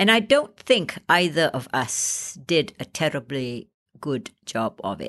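Over a quiet background, a woman with a Malaysian accent speaks at a very slow pace in a very deep, low pitch. Her pitch swings very widely and her loudness rises and falls sharply. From Malaysia, Penang. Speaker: actor and playwright. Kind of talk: interview.

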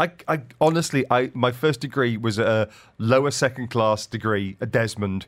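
A man at medium pitch and moderate pace, with ordinary pitch variation, an ordinary speaking voice, on a very clean recording with a silent background. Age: 50s. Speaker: radio business show host. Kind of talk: casual chat; radio interview. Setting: studio.

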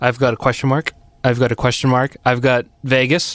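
A man talks at a fairly quick pace with an American accent. His intonation is monotone and flat, and the sound is dry and close with no echo. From Arlington, Massachusetts. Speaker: podcast host. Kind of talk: casual interview chat.

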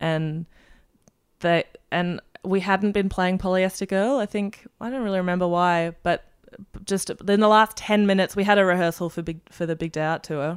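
Here a woman speaks with an Australian accent at a moderate pace. The recording is very clean, with a silent background. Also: medium pitch for a woman, fairly even intonation. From Germany, then Melbourne, Australia. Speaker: musician. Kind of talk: casual chat.

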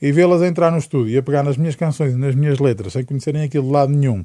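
This man's voice has a dark, mellow tone at a medium pitch. His intonation is fairly even. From Portugal, Amarante. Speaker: singer-songwriter. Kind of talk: interview. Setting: studio.

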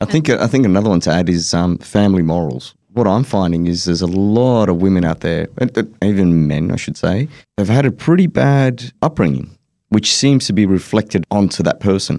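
Lively intonation and a dark, mellow tone mark a man's fairly low voice as he speaks at a fairly quick pace. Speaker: panelist. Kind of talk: casual panel discussion. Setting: studio.

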